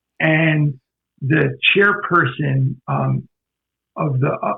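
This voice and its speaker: A man with an American accent talks at a fairly high pitch with ordinary pitch variation. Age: 60s. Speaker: lawyer and minister. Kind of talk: interview storytelling. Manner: halting, repeats words.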